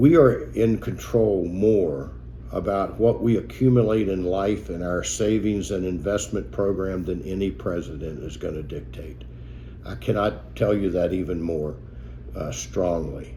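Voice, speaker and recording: With audible room echo around him, a man speaks at a fairly slow pace in a very deep, low pitch with very wide pitch swings. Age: 70s. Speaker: financial advisor. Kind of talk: talking-head video message.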